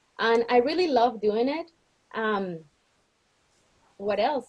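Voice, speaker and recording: This woman has a fairly high pitch. Her pitch variation is ordinary. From Colombia. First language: Spanish. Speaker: realtor. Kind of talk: candidate self-introduction at an online meeting.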